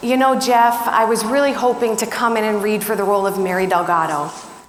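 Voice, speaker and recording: A woman at a very fast pace, fairly high in pitch and energetic in tone, with noticeable background noise. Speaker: keynote speaker. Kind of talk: keynote conference talk. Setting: live stage in front of an audience. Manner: energetic, engaging, motivational.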